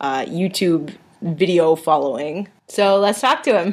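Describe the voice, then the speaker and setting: A woman with an ordinary speaking voice speaks at a fairly slow pace, fairly low in pitch with ordinary pitch variation, in a very clean recording with a silent background. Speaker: podcast host. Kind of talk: podcast intro.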